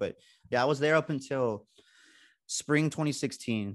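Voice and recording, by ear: A man holds a moderate pace, his intonation staying fairly even.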